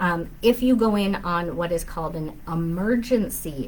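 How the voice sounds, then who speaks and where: The speaker is somewhat breathy and talks at a very slow pace. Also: woman. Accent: Upper Midwest. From southern Minnesota. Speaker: family law attorney. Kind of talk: live Q&A. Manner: conversational, frequent fillers.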